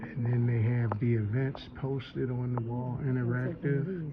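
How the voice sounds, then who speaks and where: A man's medium-pitched voice at a very slow pace, with audible room echo and noticeable background noise. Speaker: vlogger. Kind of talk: casual walking tour vlog. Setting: indoors in a library. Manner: animated; lowered voice.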